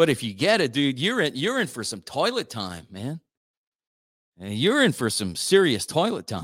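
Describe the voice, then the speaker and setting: In a very clean recording with a silent background, a man speaks at a moderate pace in a fairly high pitch, with vocal fry and very wide pitch swings. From South Louisiana (Acadiana, Cajun). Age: 40s. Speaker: radio host. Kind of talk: casual morning radio talk. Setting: radio studio. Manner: animated.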